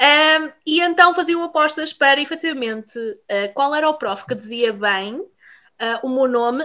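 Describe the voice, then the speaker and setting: A woman speaks in a raised, projected voice with a bright, sharp tone and an animated manner. Her intonation is lively, her pace fairly slow, and the recording very clean with a silent background. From Portugal, Vila Real. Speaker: podcast co-host. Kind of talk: casual chat.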